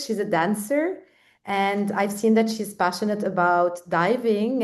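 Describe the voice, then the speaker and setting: A woman's medium-pitched, a normal speaking voice at a fairly slow pace, over a quiet background. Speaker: podcast host. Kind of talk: podcast interview.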